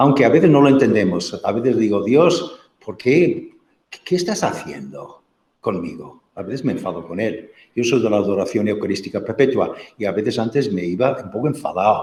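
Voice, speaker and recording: Speaking at a moderate pace, a man with a medium pitch sounds somewhat breathy, his intonation lively. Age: 60s. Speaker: marriage and family formation speaker. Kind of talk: talk with audience questions. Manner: halting.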